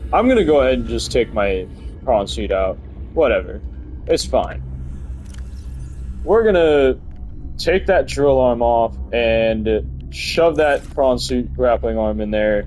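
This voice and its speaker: Against music in the background, a man talks at a fairly slow pace with long, frequent pauses. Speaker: gaming video creator. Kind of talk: let's play commentary. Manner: casual and chatty; stumbling over words.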